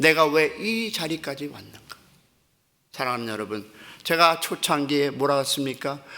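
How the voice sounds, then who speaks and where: With a bright, sharp tone and a fairly high pitch, a man speaks at a moderate pace with lively intonation and long, frequent pauses. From Korea, then raised in the US from about age 12. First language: English is now his stronger language (speaking Korean). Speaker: pastor. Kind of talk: sermon. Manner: halting, searching for Korean words.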